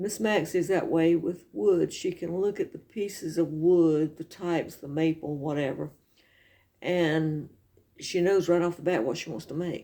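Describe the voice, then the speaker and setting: Her voice is fairly low with a dark, mellow tone, and this woman has a Southern US accent. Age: 60s. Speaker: video blogger. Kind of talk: casual chat.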